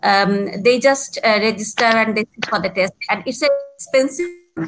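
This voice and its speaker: Speaking with a Bangladeshi accent, a woman has a fairly high pitch. There is light background noise. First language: Bengali. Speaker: exams business development manager. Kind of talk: live webinar Q&A. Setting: video call. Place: home room. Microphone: video call.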